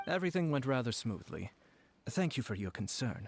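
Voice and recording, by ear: Putting on a character voice, a man talks at a fairly quick pace and medium pitch with big pitch swings, a slightly mellow tone, a slightly husky edge and vocal fry.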